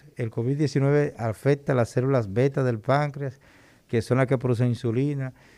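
A man's medium-pitched, dark, mellow voice with a Dominican accent and fairly even intonation, on a very clean recording with a silent background. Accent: Dominican Caribbean Spanish. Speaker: endocrinologist doctor. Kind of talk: radio interview on health. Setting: radio studio.

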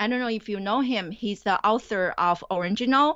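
A woman speaks with a Chinese accent at a moderate pace. Her pitch is fairly high. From China. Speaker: college professor. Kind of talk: interview.

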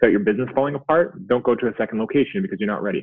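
Speaking at a very fast pace with a Canadian accent, a man uses lively intonation at a medium pitch. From Canada. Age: 30s. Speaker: business founder and CEO of a physiotherapy company. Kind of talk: casual interview chat.

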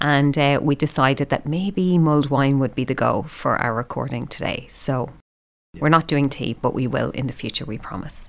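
At a moderate pace, someone with an Irish accent speaks in a very clean recording with a silent background. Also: woman, very deep, low pitch for a woman, ordinary pitch variation. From Ireland. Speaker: podcast co-host, teacher. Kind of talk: casual chat. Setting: recording in a room at home.

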